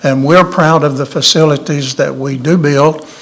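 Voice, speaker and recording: A man with a Tennessee accent speaks at a fairly high pitch with fairly even intonation. Background noise is noticeable. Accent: Southern US (Tennessee), noticeable. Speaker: architect. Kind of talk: public meeting presentation.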